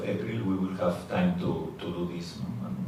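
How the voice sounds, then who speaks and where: In a Spanish accent, a man speaks with a very deep, low pitch amid audible room echo and noticeable background noise. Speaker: football coach. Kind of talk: press conference. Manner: halting.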